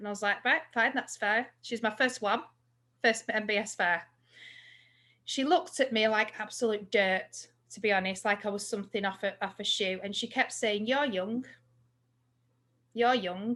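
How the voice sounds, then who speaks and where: With a bright, sharp tone and ordinary pitch variation, the speaker leaves long, frequent pauses against a quiet background. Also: woman, fairly high pitch for a woman, moderate pace. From England. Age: 40s. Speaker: psychic medium. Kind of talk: casual chat.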